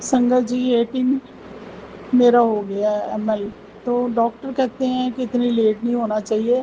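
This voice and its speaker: Noticeable background noise sits behind a woman with a high pitch. She talks at a very slow pace in a monotone, flat intonation. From Punjab. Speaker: devotee sharing testimony. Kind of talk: devotional testimony. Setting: at home before altar, night.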